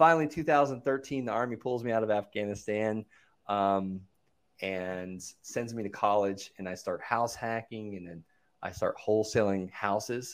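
In an unremarkable speaking voice, a man talks at a moderate pace with a fairly low pitch and ordinary pitch variation. His loudness swings widely, and the recording is very clean with a silent background. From Florida (Okeechobee), US South. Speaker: real estate investor and coach, army veteran. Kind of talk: interview, casual chat.

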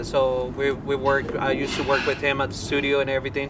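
Over noticeable background noise, a man talks at a fairly high pitch with a Colombian accent. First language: Spanish. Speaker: rock band musician. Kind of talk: casual chat.

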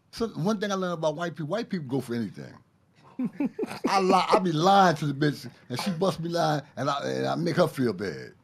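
The speaker has a Brooklyn accent and vocal fry. Delivery is fairly quick, with lively intonation. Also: man, fairly high pitch for a man. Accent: Brooklyn New York. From Brooklyn, New York. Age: 60s. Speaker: ex-inmate guest. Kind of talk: casual chat.

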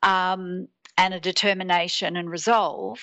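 A woman is speaking. She has an Australian accent. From Australia, Sydney. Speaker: teacher and transformational coach. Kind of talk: interview.

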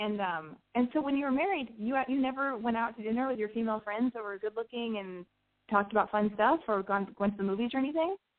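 This woman talks at a very fast pace. Her pitch is fairly high, with ordinary pitch variation. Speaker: call-in advice show host. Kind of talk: call-in radio show, casual chat. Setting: internet radio with phone-in callers. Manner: rambling, off-the-cuff delivery.

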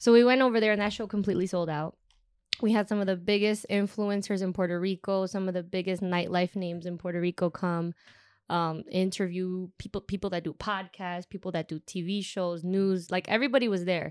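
A woman's normal speaking voice with an American accent, medium in pitch, fairly even in intonation and fairly quick in pace, on a very clean recording with a silent background and a dry, close sound with no echo. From Chicago. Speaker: event tour manager. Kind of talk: casual chat.

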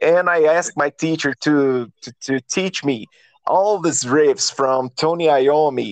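Delivered at a fairly slow pace with a Brazilian accent, the speech has ordinary pitch variation and a dry, close sound with no echo. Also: man, fairly high pitch for a man. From Minas Gerais, Brazil. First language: Portuguese. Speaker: guitarist and songwriter. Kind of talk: casual interview. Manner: halting, searching for words.

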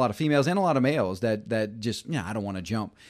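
On a very clean recording with a silent background, a man with a Southern US accent speaks with lively intonation. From Louisiana, US South. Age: 40s. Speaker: mountain bike instructor. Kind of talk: casual chat.

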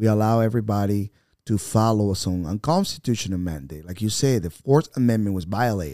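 In a Spanish accent, a man talks at a fairly quick pace with a fairly low pitch, a dark, mellow tone and ordinary pitch variation, in a very clean recording with a silent background. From Venezuela. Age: 50s. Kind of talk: podcast interview.

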